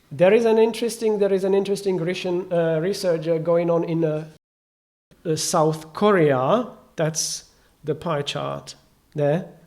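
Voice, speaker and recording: In a room with audible echo, a man with a non-native accent speaks fairly slowly at a high pitch with ordinary pitch variation. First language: not English. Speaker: conference speaker. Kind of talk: conference talk. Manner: halting.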